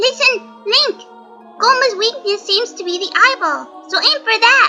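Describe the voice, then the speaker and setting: A squeaky, cartoonish character voice at an extremely high pitch, with clear music in the background. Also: moderate pace. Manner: chirpy, eager.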